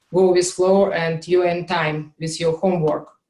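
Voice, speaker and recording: A woman's fairly low voice with a Russian accent, monotone, flat intonation and a moderate pace. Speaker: QA instructor. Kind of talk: online class session. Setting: video call with screen share. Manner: hesitant, many fillers.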